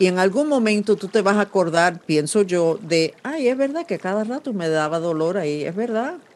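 Against noticeable background noise, a woman speaks at a moderate pace with hardly any pauses. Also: medium pitch for a woman, lively intonation. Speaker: podcast host and psychic. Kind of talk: psychic reading interview. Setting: video call. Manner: serious.

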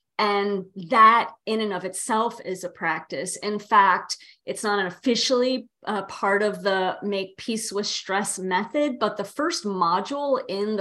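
A woman with a normal speaking voice talks at a fairly slow pace, with hardly any pauses, in a medium pitch and ordinary pitch variation. The recording is very clean, with a silent background. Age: 50s. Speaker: yoga therapist. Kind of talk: casual interview conversation.

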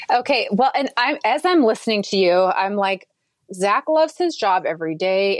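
In an American accent, a woman with a plain, everyday voice talks at medium pitch and a moderate pace, with ordinary pitch variation and a dry, close sound with no echo. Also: very clean recording, silent background. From Minnesota. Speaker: podcast host and quilting business owner. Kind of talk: interview.

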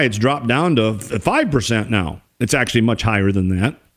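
A man with an unremarkable speaking voice, lively intonation and a moderate pace, in a very clean recording with a silent background. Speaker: radio host. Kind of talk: angry rant. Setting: radio studio.

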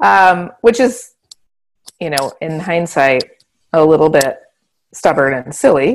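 Very slow speech in an American accent, with long, frequent pauses, very wide pitch swings and big swings in loudness. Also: woman, fairly low pitch for a woman. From Montana, rural eastern plains. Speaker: management and agile consultant. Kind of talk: interview.

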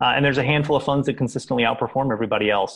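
Fairly even intonation marks this man's speech, delivered with an American accent. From Kentucky, US. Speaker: tech startup CEO. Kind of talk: interview. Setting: remote call.

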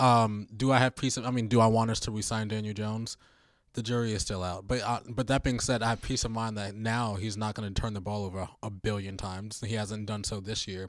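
The recording is very clean, with a silent background. A man with a fairly low pitch speaks at a fairly quick pace in a monotone, flat intonation. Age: 30s. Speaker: sports podcast guest. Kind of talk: casual chat. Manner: halting.

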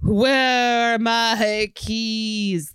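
A woman speaks in a put-on character voice pitched fairly high. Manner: wandering, searching, mock-spooky.

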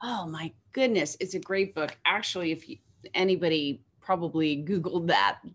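This woman has a plain, everyday voice with a fairly low pitch. Her moderate pace comes with ordinary pitch variation and big swings in loudness. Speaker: podcast host. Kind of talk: interview.

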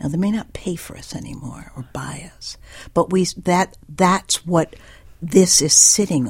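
Speaking at a fairly slow pace with an American accent, a woman has a somewhat breathy, fairly low voice, ordinary pitch variation and big swings in loudness. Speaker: writer. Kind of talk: radio interview. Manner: halting.

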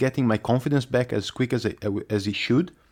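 The man's medium-pitched voice moves fairly quickly, its intonation fairly even. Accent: Italian. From Italy. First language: Italian. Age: 20s. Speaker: speedway rider. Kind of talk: interview. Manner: halting.

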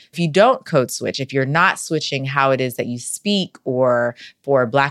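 A woman with an American accent speaks at a moderate pace in a very deep, low pitch. The recording is very clean with a silent background, and the sound is dry and close with no echo. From North Carolina, US South. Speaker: professor of organizational behavior. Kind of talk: interview conversation.

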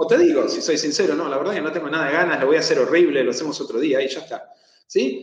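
Someone talks at a very fast pace with a Rioplatense accent. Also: man. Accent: Argentine Rioplatense Spanish. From Argentina. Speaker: therapist. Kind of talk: interview on anxiety management. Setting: live video stream.

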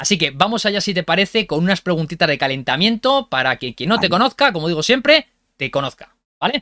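Enthusiastic and very fast, a man speaks in a high pitch with very wide swings and a bright, sharp tone, the sound dry and close with no echo. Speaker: podcast host. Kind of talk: interview.

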